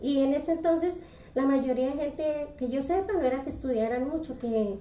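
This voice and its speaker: At a moderate pace, a woman with a high pitch and ordinary pitch variation speaks amid audible room echo. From Colombia, Santander. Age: 60s. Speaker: retired bakery worker. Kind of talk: interview. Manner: halting.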